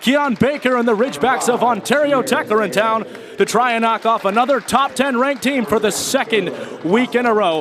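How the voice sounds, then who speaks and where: A man with an extremely high pitch speaks at a moderate pace with hardly any pauses, ordinary pitch variation and very even loudness, over noticeable background noise. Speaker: sports play-by-play broadcaster. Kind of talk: live sports broadcast introduction. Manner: warm, welcoming.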